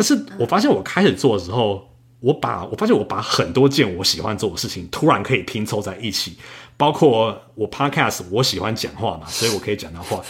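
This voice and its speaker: A man's somewhat breathy, fairly low-pitched voice with lively intonation and big swings in loudness. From Taiwan. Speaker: software engineer and travel podcaster. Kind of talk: casual interview.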